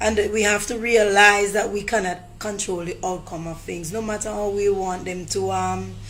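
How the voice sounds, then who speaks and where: Over background music, a woman keeps to a moderate pace. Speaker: motivational speaker. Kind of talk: motivational talk to camera.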